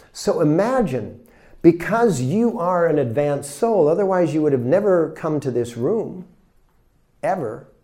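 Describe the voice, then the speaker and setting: Audible room echo surrounds this man's voice. He speaks fairly slowly in a dark, mellow tone. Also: fairly high pitch for a man, lively intonation. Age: 60s. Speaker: spiritual teacher. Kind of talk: lecture. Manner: animated.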